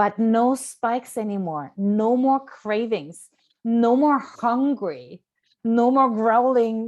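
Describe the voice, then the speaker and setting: Against a quiet background, a woman with a German accent speaks in an animated tone at a fairly high pitch with ordinary pitch variation. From Germany. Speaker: nutrition coach. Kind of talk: live stream talk.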